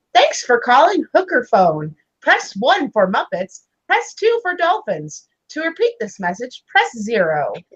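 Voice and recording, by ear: A woman puts on a character voice. It is high in pitch and fairly slow in pace.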